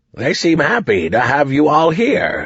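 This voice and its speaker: A man speaks in a put-on character voice with a fairly high pitch. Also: moderate pace. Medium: read story.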